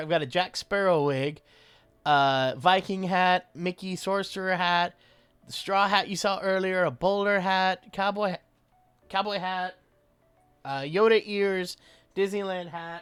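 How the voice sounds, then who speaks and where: A man's high-pitched voice with an American accent, ordinary pitch variation and a moderate pace, over music in the background. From US South. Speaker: voice impressionist and streamer. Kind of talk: casual live-stream chat. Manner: animated.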